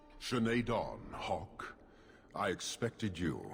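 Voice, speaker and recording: In a put-on character voice, a man talks at a fairly slow pace and medium pitch with ordinary pitch variation, and background noise is clearly heard. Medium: video game. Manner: measured, formal, unyielding.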